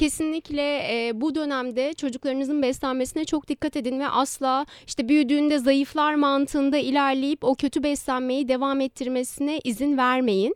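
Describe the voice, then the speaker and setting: A woman speaks at a moderate pace in a high voice, with hardly any pauses and fairly even intonation. The sound is dry and close, with no echo. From Istanbul, Turkey. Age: 20s. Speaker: dietitian. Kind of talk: interview.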